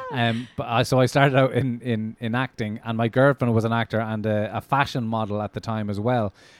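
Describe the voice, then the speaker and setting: With an Irish accent, the speaker delivers a flat monotone at a fairly quick pace with hardly any pauses, in a dry, close sound with no echo. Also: man, medium pitch for a man. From Ireland. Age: 30s. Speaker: comedian. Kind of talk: casual chat.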